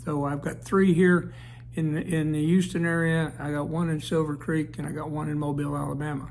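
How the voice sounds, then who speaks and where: Over audible room echo, a man talks at a fairly quick pace with a fairly high pitch and monotone, flat intonation. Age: 70s. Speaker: service club district leader. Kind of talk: informal self-introduction to camera. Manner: halting, with many fillers.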